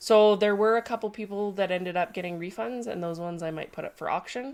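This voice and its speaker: On a very clean recording with a silent background, a woman with a Canadian accent speaks nasally at a moderate pace. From Canada. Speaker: sculptor and livestream host. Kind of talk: casual livestream chat. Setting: home studio livestream.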